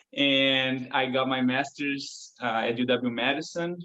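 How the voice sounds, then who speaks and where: A medium-pitched man with a Portuguese accent and fairly even intonation. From Brazil, São Paulo. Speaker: violinist. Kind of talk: interview.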